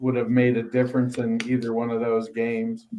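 A man talks in a normal speaking voice at a medium pitch and a moderate pace, with ordinary pitch variation. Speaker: fantasy football podcast co-host. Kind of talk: casual banter, sports talk.

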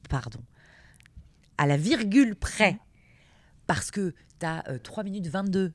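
The recording is very clean, with a silent background. On it, a woman talks. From eastern and southwestern France (Meuse, Gers). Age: 30s. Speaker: radio and TV presenter. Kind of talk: interview. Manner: natural and relaxed, laughs often.

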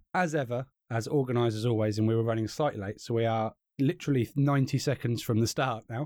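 Talking at a very fast pace with a British accent, a man uses ordinary pitch variation. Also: medium pitch for a man, very clean recording, silent background. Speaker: podcast host and co-commentator. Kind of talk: live sports commentary, listen-along to a race. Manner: casual, chatty, bantering; describing the race action as it happens.

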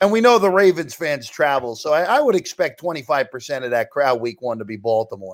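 With very wide pitch swings, a man speaks at a fairly high pitch. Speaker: sports betting analyst. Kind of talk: casual chat. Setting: video call from his parents' house.

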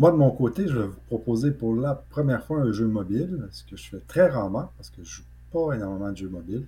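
A man speaks at a medium pitch with very wide pitch swings and big swings in loudness. His tone is dark and mellow, somewhat breathy. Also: fairly quick pace. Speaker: video game podcast co-host. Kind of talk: casual chat.

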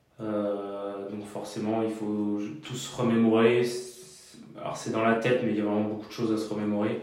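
Flat, monotone delivery at a moderate pace, with audible room echo and noticeable background noise. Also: man, fairly low pitch for a man. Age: 20s. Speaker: mechanic. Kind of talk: interview. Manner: halting.

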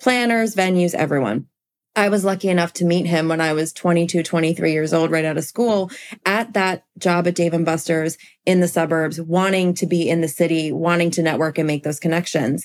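A woman with an American accent uses a plain, everyday voice, fairly low in pitch with ordinary pitch variation. She keeps a fairly quick pace and very even loudness. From US, small town. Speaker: event planner. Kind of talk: casual chat.

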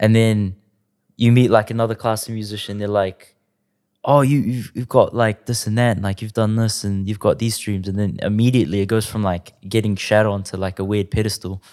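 A man with a New Zealand accent speaks fairly quickly in a fairly low voice, his intonation flat and monotone. The recording is very clean, with a silent background. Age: 20s. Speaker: music producer. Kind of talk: casual chat.

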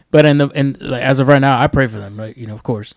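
The man here has an unremarkable speaking voice. His pitch is fairly high, with ordinary variation. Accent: American. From New York. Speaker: podcast co-host. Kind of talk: casual chat.

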